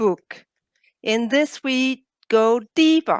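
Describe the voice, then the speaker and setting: A woman's fairly high voice with a Danish accent, lively intonation and a dry, close sound with no echo. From Denmark. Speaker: biologist and coach, author. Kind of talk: interview.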